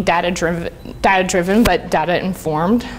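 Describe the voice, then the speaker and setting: A woman talks at a moderate pace in an ordinary speaking voice with ordinary pitch variation. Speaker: conference speaker, UX designer. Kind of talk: conference talk. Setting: stage with audience. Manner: casual, filler-heavy.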